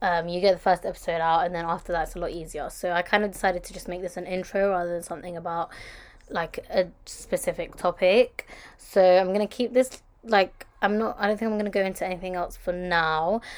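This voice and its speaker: Talking very fast with a London accent, a woman keeps a medium pitch and fairly even intonation while her loudness swings widely. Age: 20s. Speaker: podcast host. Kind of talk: casual monologue. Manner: chatty, rambling fast.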